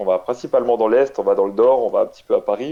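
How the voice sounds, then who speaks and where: In front of a quiet background, a man talks at a very fast pace. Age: 30s. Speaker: competitive tabletop wargame player. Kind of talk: interview. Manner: hesitant, many fillers.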